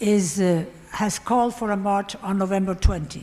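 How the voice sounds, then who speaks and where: With a Spanish accent, a woman speaks at a moderate pace. Her voice sits at medium pitch with ordinary pitch variation. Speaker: democracy activist. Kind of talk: panel talk.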